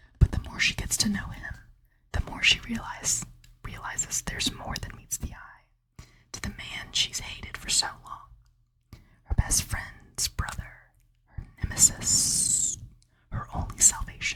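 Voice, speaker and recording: A woman whispers at a fairly slow pace. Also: big swings in loudness. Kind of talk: reading a book blurb aloud. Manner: whispered, soft-spoken.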